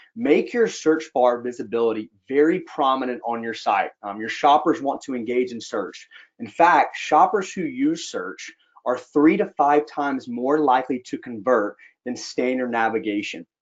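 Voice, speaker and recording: Lively intonation from a man with a Southern US accent, fairly high pitch, moderate pace, and big swings in loudness. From US South, Georgia. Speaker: sales executive. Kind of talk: webinar presentation. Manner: casual with frequent fillers.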